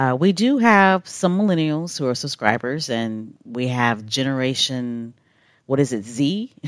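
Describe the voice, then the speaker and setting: A woman's very deep, low voice with lively intonation at a fairly slow pace, in a very clean recording with a silent background. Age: 40s. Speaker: podcast host. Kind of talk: solo podcast commentary. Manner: casual, with frequent fillers and laughs.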